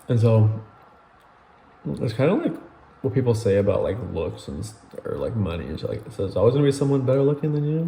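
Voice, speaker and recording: Mumbling at a very fast pace, a man leaves long, frequent pauses, with audible room echo and noticeable background noise. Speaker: YouTuber. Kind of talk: casual mukbang vlog. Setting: at home, late night.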